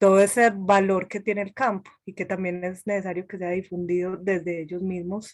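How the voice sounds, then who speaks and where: A woman with an Antioquian accent, medium pitch, monotone, flat intonation, a moderate pace, hardly any pauses and big swings in loudness. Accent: eastern Antioquia Colombian. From Antioquia, Colombia. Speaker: session participant. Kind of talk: online panel discussion.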